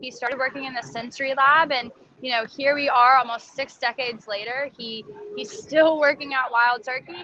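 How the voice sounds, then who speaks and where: A woman's high, raised and projected voice at a fairly quick pace, with ordinary pitch variation. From Nashville, Tennessee. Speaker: bourbon brand ambassador. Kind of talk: casual interview.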